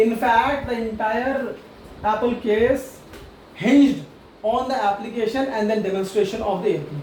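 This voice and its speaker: The voice has ordinary pitch variation, with audible room echo and noticeable background noise around it. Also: man, high pitch for a man. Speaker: tax lecturer. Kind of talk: online lecture. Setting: online class. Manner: fast.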